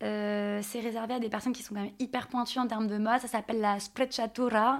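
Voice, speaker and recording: A normal speaking voice with fairly even intonation comes through on a very clean recording with a silent background. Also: woman. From France, Nantes. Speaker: image coach. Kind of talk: interview.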